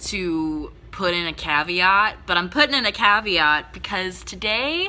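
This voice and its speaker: Her voice has a bright, sharp tone, and this woman speaks at a medium pitch. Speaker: young adult author and youtuber. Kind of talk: casual vlog talk to camera. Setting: filming at home in dim lighting.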